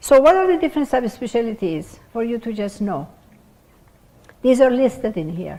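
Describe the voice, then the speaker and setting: A woman with a non-native accent, a fairly high pitch, a dark, mellow tone, very wide pitch swings, a moderate pace and long, frequent pauses. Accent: foreign. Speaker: pathologist, department head. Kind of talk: lecture.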